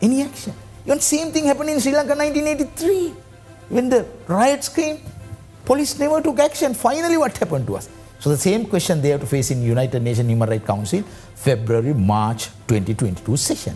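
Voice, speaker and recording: Faint background music can be heard. The talking moves fairly quickly. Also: man. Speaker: guest. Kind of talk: interview answer. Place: studio. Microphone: lapel.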